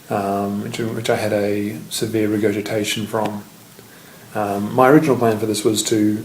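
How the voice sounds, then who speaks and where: A man speaks with an Australian accent at a moderate pace, his pitch fairly low. His intonation is monotone and flat, with noticeable background noise behind him. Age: 20s. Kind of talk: casual video diary.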